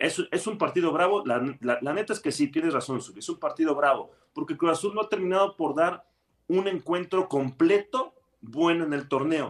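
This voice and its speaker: This man talks at a moderate pace with a Mexican accent, his high pitch carrying lively intonation. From Mexico. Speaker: football pundit. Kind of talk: casual chat.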